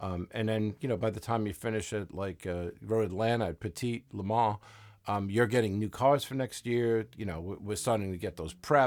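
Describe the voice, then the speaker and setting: With a New York accent, a man talks at a moderate pace in a fairly low pitch, with ordinary pitch variation, on a very clean recording with a silent background. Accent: New York accent (jokingly called Southern). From US Northeast, Long Island, New York. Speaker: racing crew chief. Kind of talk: casual interview chat. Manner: many fillers and false starts.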